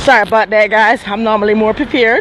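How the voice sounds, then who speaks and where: Over noticeable background noise, a woman with a fairly high voice talks at a very fast pace. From Jamaica. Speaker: vlogger. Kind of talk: casual live-stream storytelling.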